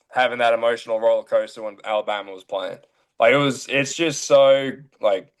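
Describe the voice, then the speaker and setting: A man with an Australian accent speaks at a fairly quick pace. His loudness swings widely. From Australia, near Brisbane. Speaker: college baseball player. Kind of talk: casual interview. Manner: casual, filler-heavy.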